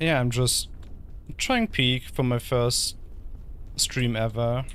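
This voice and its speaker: A man with a German accent at a very slow pace, his loudness very even. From Germany. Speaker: VTuber streamer. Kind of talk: gaming livestream casual chat. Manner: halting.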